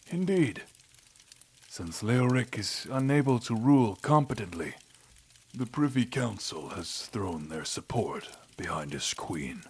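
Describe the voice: A man puts on a character voice with a fairly low pitch, a husky, rough edge and a slightly mellow tone. He speaks at a fairly slow pace with lively intonation.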